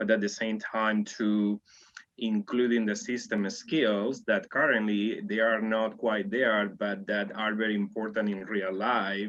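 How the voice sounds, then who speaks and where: Monotone, flat intonation marks a man's speech at a fairly slow pace. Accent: non-native. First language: not English. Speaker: world language specialist. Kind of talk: group discussion.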